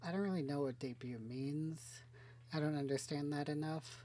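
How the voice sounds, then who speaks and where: A soft-spoken woman talks at a moderate pace. Her pitch is very deep and low, and her tone is dark and mellow. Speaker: VTuber gaming streamer. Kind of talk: casual let's-play commentary. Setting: home recording with headphones, game audio. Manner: soft-spoken, talking quietly.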